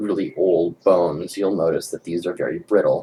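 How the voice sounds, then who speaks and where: Noticeable background noise fills the clip. A rumbling runs through it. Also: man. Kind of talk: commentary response video. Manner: quiet, subdued.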